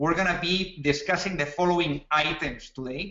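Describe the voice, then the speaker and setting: A man talks at a fairly quick pace with a Spanish accent. His pitch is fairly high and his intonation fairly even. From Spain. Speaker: startup co-founder and webinar presenter. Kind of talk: webinar presentation. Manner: halting, frequent fillers and repetitions.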